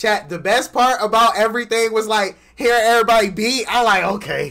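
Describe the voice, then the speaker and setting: A man projects a raised voice with a bright, sharp tone. He keeps a moderate pace against a quiet background. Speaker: stream host. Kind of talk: casual livestream chat. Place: home room. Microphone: headset.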